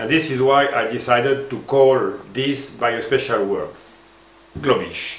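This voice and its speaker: Here a man talks in a French accent at a fairly slow pace. His pitch varies in an ordinary way, and audible room echo surrounds him. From France. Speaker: former marketing executive, language educator. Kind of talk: scripted presentation. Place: office.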